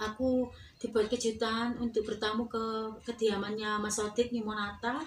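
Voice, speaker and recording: Against noticeable background noise, a woman speaks with a Javanese accent. Her voice is fairly high, monotone and flat, at a moderate pace. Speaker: dangdut singer. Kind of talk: interview. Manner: casual.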